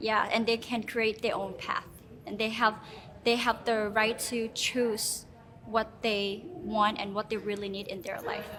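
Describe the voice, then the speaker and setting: Over noticeable background noise, a woman with a fairly high voice speaks with fairly even intonation. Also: fairly slow pace. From Laos. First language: Hmong or Lao. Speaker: beauty pageant contestant. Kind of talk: interview. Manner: hesitant, many fillers.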